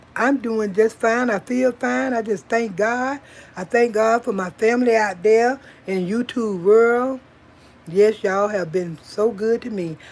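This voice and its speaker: In an ordinary speaking voice, a woman talks fairly slowly, her fairly high pitch showing ordinary variation. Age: 60s. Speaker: YouTube vlogger. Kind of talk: casual livestream chat. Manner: warm, conversational with fillers.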